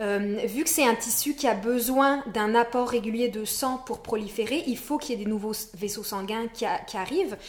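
A woman with a fairly high pitch and ordinary pitch variation talks at a moderate pace with hardly any pauses. Noticeable background noise runs underneath. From France. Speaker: naturopath. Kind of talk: podcast interview. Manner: hesitant, many fillers.

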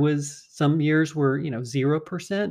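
A plain, everyday voice talks at a fairly slow pace. The background is quiet. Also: man. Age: 50s. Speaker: personal finance podcast host. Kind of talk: solo podcast monologue explaining finance. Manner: conversational.

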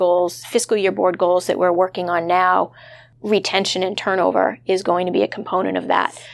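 A woman speaks in an unremarkable speaking voice with an American accent. Her medium pitch holds a fairly even intonation at a moderate pace. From Massachusetts. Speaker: human resources executive. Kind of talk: interview.

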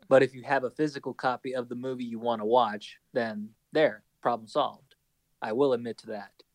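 A man talks in a normal speaking voice at a fairly quick pace, with medium pitch and fairly even intonation. His loudness swings widely, and the sound is dry and close with no echo. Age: 20s. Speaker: podcast co-host and school educator. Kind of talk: casual chat.

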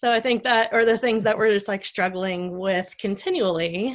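A woman with a plain, everyday voice, ordinary pitch variation and a fairly slow pace. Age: 30s. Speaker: nurse. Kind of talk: testimony.

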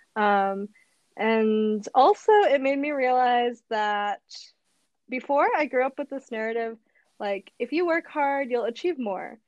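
A normal speaking voice, a woman's, in an American accent, fairly slow, with ordinary pitch variation and a dry, close sound without echo. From US Midwest, Madison, Wisconsin. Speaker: English teacher. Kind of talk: casual chat.

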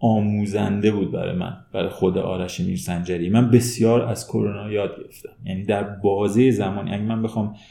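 In an ordinary speaking voice, a man with a fairly low pitch talks at a moderate pace with fairly even intonation and hardly any pauses. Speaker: human resources manager. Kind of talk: interview.

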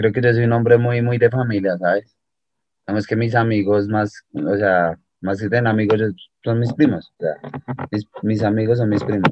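The clip has an ordinary speaking voice delivered at a moderate pace. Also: man, fairly low pitch for a man. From Colombia, Bogotá. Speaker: musician. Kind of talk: casual interview.

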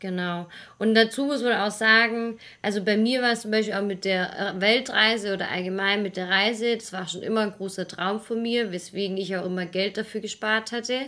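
A woman's bright, sharp tone at a moderate pace. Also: medium pitch for a woman, fairly even intonation. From Swabia, Germany (near Stuttgart). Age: 20s. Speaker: travel podcaster. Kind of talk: casual chat.

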